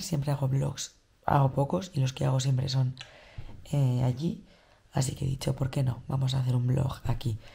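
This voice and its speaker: A woman does a quiet, raspy put-on character voice with very deep, low pitch, keeping a moderate pace broken by long, frequent pauses. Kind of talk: casual vlog. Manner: quiet, low volume.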